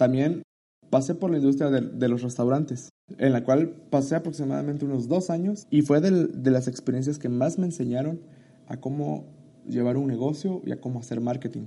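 The pace is moderate. It is an unremarkable speaking voice. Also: man, fairly high pitch for a man, ordinary pitch variation. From Mexico, Chiapas (Tuxtla Gutiérrez). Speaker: podcast host, marketing student and entrepreneur. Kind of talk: solo podcast introduction.

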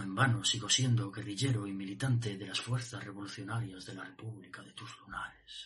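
The delivery is intense and passionate, with big swings in loudness. It runs at a fairly quick pace with hardly any pauses. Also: man, fairly low pitch for a man. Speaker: slam poet performing. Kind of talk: slam poetry performance, dense verse. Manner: intense, passionate, dramatic delivery.

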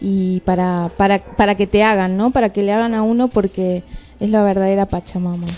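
A normal speaking voice belongs to this woman, set at a medium pitch. She keeps a moderate pace with fairly even intonation. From Argentina, Jujuy. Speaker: community radio co-host. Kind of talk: radio chat.

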